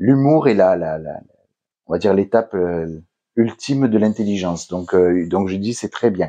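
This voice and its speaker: A man with a southern French accent speaks at a fairly slow pace and a fairly low pitch. His tone is dark and mellow, with ordinary pitch variation. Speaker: hypnotherapist. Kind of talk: interview. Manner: hesitant, many fillers.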